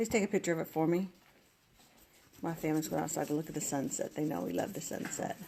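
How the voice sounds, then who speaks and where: A soft-spoken woman at a very deep, low pitch, very fast pace and ordinary pitch variation, with long, frequent pauses. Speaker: craft tutorial host. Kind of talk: live crafting tutorial.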